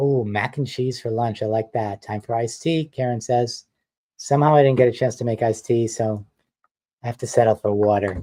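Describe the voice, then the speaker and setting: A man with a slight New York accent speaks at a fairly quick pace and medium pitch, with a dark, mellow tone and fairly even intonation. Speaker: mixed-media artist and designer. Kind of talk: live stream chat. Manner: casual, chatty.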